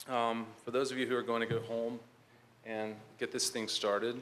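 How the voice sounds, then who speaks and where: A moderate pace with a Southern US accent and audible room echo. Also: man. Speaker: conference speaker, health IT manager. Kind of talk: conference presentation. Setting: conference hall with audience. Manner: hesitant, many fillers.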